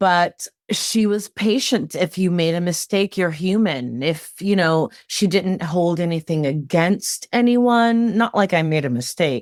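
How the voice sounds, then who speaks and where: In a very clean recording with a silent background and a dry, close sound with no echo, a woman with an American accent and a normal speaking voice talks at a fairly slow pace and fairly low pitch, with lively intonation, very even loudness and hardly any pauses. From California. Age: 40s. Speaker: dancer and associate choreographer. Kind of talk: interview.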